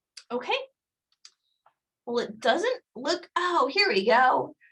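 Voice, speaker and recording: Raised, projected female voice, bright and sharp in tone. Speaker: career services staff presenter. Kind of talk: live webinar presentation. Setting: video call. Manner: fast.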